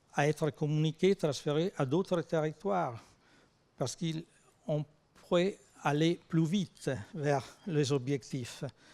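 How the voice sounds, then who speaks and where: In an Italian accent, a man speaks at a very slow pace and a fairly high pitch with ordinary pitch variation, in a very clean recording with a silent background and a dry, close sound with no echo. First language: Italian (speaking French). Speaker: research organisation president. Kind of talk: conference talk. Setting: conference with audience.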